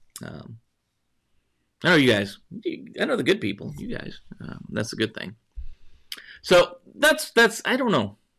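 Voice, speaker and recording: This man speaks fairly slowly with an American accent, leaving long, frequent pauses. His loudness swings widely. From northwest Montana, US. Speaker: cybersecurity news show host. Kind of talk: live-streamed news chat. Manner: halting, repeats words.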